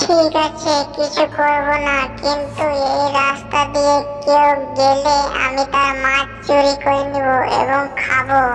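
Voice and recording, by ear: A cartoonish character voice, female-sounding and high-pitched, moves at a fairly slow pace. Clear echo and clear music sit in the background.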